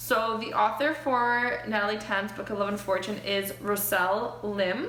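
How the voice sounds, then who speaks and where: A woman talks at a medium pitch with ordinary pitch variation. Audible room echo and noticeable background noise surround her. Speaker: book vlogger. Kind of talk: casual vlog review. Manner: fast.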